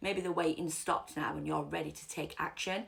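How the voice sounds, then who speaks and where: A woman's fairly low voice with vocal fry, at a very fast pace. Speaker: tarot reader. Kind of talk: tarot reading to camera.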